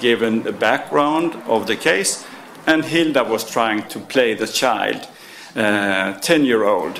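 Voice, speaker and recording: A man speaks very slowly at medium pitch with lively intonation. Audible room echo and noticeable background noise fill the recording. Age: 60s. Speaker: former police officer and trainer. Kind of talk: conference presentation. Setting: round table in parliament. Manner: halting.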